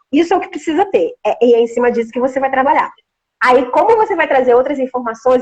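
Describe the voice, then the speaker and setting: Speaking at a fairly quick pace, a woman has a high pitch and an animated tone. The sound is dry and close, with no echo. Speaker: veterinarian and science communicator. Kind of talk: interview. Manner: fast.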